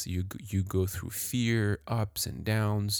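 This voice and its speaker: Heard in a very clean recording with a silent background, a man with a French accent talks at a fairly slow pace with fairly even intonation. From France. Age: 30s. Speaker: professional juggler and podcast host. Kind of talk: casual podcast narration and interviews. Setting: home recording corner with microphone.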